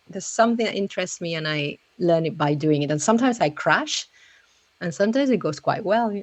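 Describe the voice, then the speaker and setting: A woman speaks at a fairly quick pace with a non-native accent. Her intonation is lively. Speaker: podcaster and remote work trainer. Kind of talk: interview.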